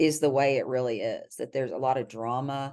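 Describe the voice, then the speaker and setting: With a Texas accent, a woman speaks in a very deep, low pitch, her tone dark and mellow and her intonation fairly even over a quiet background. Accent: soft Texas drawl. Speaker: criminal defense lawyer. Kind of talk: podcast interview answer. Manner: kind, friendly.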